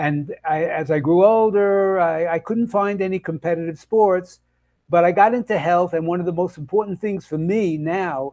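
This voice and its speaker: With a New York accent, a man speaks in a high-pitched voice with a dark, mellow tone and ordinary pitch variation. His moderate pace comes through a dry, close sound with no echo and a quiet background. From US Northeast, Brooklyn, New York. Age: 80s+. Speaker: health and nutrition coach. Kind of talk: interview. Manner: halting, many fillers.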